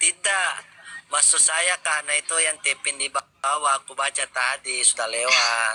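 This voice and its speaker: Over noticeable background noise, a man with a fairly high pitch and ordinary pitch variation talks at a fairly slow pace, the sound dry and close with no echo. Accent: Makassar. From Makassar, South Sulawesi. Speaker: live stream participant. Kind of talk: public apology in live chat. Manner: halting, stammering.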